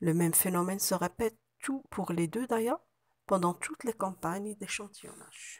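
A normal speaking voice moves at a moderate pace with ordinary pitch variation in a dry, close sound with no echo. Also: woman, medium pitch for a woman. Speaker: university researcher. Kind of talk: conference presentation. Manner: formal.

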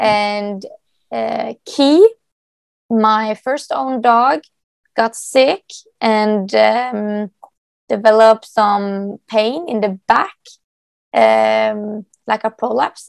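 In a Norwegian accent, a woman speaks very slowly at a fairly high pitch with long, frequent pauses, the sound dry and close with no echo. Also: ordinary pitch variation. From Norway. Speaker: dog agility competitor and trainer. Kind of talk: interview answer.

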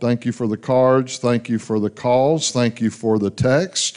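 Fairly slow and fairly even in intonation, a man's voice carries on. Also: quiet background. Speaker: pastor making announcements. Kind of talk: church announcements and prayer. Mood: warm, lightly humorous. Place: church. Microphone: handheld.

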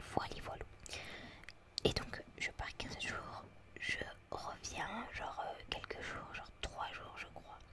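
Whispering very slowly amid noticeable background noise, a woman leaves long, frequent pauses. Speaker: ASMR content creator. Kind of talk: casual talk to camera about her channel. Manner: whispered, soft-spoken.

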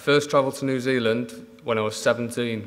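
This man speaks in a monotone, with flat intonation. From Manchester, northern England; northern England. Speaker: dairy farmer. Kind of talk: conference talk. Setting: stage with audience. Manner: halting. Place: hall. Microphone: podium.

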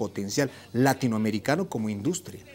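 Light background noise sits behind a man talking. His pace is fairly quick and his pitch variation ordinary. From Bolivia. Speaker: TV panelist. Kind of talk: panel debate. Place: studio. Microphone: lapel.

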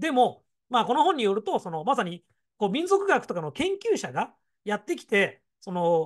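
Against a quiet background, a man with a high pitch speaks at a moderate pace, his pitch swinging very widely. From Gifu, Japan; rural Japan. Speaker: education consultant and YouTuber. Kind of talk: solo commentary on education news. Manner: explanatory, fillers, opinionated.

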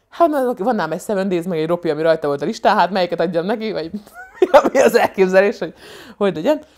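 A woman talks at a very fast pace. Her tone is animated and her intonation lively. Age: 30s. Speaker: comedian and vlogger; comedian vlogger. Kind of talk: casual vlog monologue. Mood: humorous, animated storytelling. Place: home room. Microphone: lapel.

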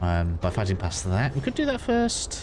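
A man at a fairly quick pace with ordinary pitch variation, amid noticeable background noise. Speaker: gaming walkthrough streamer. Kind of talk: gameplay walkthrough commentary. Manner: casual, rambling, self-talking.

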